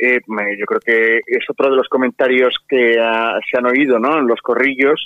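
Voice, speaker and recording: A man speaks in an unremarkable speaking voice at a medium pitch. His intonation is fairly even and his pace fairly slow. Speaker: party supporter. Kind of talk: radio interview.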